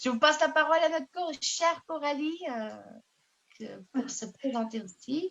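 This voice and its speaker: A woman speaks at a fairly slow pace in a high pitch with ordinary pitch variation. Her loudness swings widely. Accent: Portuguese. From Portugal. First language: Portuguese (speaking French). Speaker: network marketing ambassador. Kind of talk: self-introduction on video call. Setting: video call. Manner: halting.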